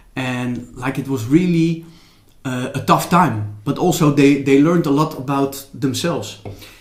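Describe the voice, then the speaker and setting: With a Dutch accent, a man talks at a moderate pace in a fairly high pitch with ordinary pitch variation, over noticeable background noise and audible room echo. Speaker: former DJ and Zen teacher. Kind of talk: interview. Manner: halting.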